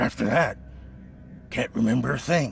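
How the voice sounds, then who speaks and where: A raspy put-on character voice from a man at medium pitch, over clear background noise. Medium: video game. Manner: agitated, defensive.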